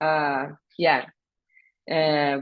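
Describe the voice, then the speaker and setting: A woman is speaking. She has a Portuguese accent. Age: old. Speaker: evaluation researcher. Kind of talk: webinar Q&A discussion.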